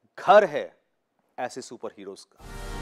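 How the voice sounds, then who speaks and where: Over a quiet background, a man speaks very slowly in a dramatic tone. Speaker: army officer turned anchor and storyteller. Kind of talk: radio and TV show promo narration. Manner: earnest, dramatic, direct address to the audience. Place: studio. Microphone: lapel.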